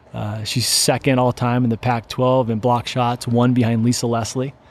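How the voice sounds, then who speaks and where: A man talks with an American accent. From Seattle, Washington. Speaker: entrepreneur and former baseball player. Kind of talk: interview. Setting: company warehouse.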